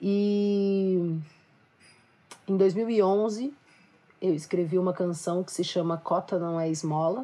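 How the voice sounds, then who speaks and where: Speaking very slowly with long, frequent pauses, a woman uses a dark, mellow tone at medium pitch, with ordinary pitch variation and big swings in loudness. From Minas Gerais countryside, Brazil. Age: 20s. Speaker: singer-songwriter and activist. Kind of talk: panel discussion.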